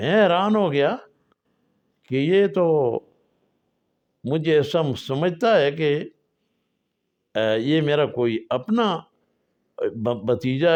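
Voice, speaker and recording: The speaker pauses long and often against a quiet background. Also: man. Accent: Pashto. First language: Pashto (speaking Hindi). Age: 80s+. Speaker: storyteller. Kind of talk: personal storytelling. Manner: halting.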